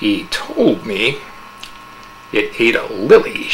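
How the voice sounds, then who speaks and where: A man speaks very slowly in a put-on character voice, with clear background noise behind him. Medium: read story. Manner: cold, contemptuous.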